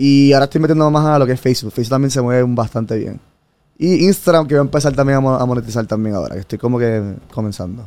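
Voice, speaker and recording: A man talks at a very fast pace. His medium-pitched voice has a dark, mellow tone. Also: ordinary pitch variation. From Puerto Rico. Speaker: former engineer, digital nomad traveler. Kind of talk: casual interview chat. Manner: animated.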